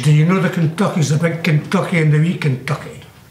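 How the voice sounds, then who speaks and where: With a Scottish accent, a man speaks in a high pitch. Audible room echo and light background noise are in the recording. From Glassford, South Lanarkshire, Scotland. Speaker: local resident recalling the past. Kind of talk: interview answer. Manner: hesitant, rambling. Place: home room.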